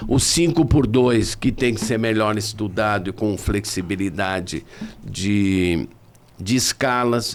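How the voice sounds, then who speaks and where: The pace is very slow. A man talks in a fairly low pitch. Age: 70s. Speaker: tourism professor and consultant. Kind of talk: podcast interview.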